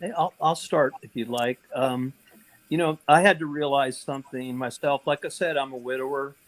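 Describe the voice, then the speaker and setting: This man's voice sits fairly high, with ordinary pitch variation and a moderate pace. The sound is dry and close, with no echo. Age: 60s. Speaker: panelist, widower. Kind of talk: panel discussion. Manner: halting, many fillers.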